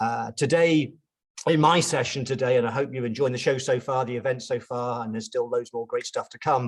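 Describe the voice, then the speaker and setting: A medium-pitched man with a British accent. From UK. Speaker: chartered accountant and pricing consultant. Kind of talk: webinar presentation. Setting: online webinar. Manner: casual, hesitant with fillers.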